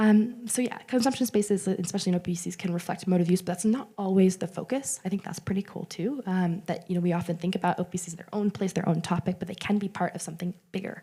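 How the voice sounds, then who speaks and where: A woman talks at a very fast pace with hardly any pauses, using fairly even intonation, a medium pitch and a dark, mellow, somewhat breathy tone. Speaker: conference presenter, researcher. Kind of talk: conference talk.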